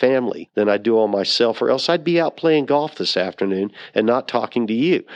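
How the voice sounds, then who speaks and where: Quiet background behind a man with a normal speaking voice, medium pitch, lively intonation and a fairly quick pace. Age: 60s. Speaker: nonprofit hemp foundation founder. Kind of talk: interview.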